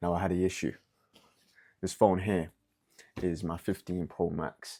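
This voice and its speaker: At a moderate pace, a man with a London accent speaks in a very deep, low pitch. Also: fairly even intonation. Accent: British (London). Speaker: podcast host. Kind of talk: casual solo podcast monologue. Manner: casual, halting with stutters.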